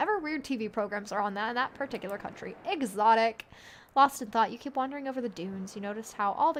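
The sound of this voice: Someone reads in an unforced voice. The pitch shifts in an ordinary way.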